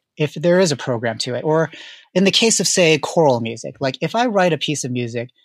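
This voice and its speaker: This man has a normal speaking voice at a fairly high pitch. His intonation is lively. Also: dry, close sound with no echo. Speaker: composer. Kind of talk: interview.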